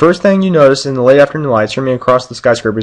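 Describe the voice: Someone does plain reading aloud in this recording.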